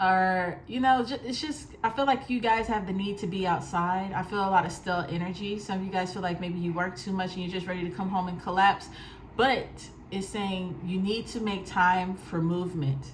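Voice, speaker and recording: A woman talks at a medium pitch with ordinary pitch variation. Room echo can be heard along with noticeable background noise. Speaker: tarot reader. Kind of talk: tarot reading monologue. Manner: fast; casual.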